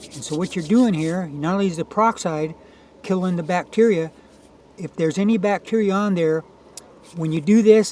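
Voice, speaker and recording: Against noticeable background noise, a man speaks in a high pitch. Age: 70s. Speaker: self-made product demonstrator. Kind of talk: tutorial. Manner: halting, many fillers; casual.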